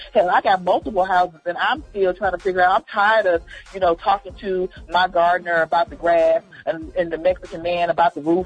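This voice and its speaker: A woman's animated voice at medium pitch, with noticeable background noise. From Georgia, US South. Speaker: comedian and actress. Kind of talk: casual interview chat.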